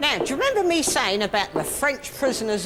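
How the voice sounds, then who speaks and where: Very wide pitch swings run through the voice while music plays in the background. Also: woman. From Southampton, England. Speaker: local history guide. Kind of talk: guided walking tour to camera. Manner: down-to-earth, unpretentious.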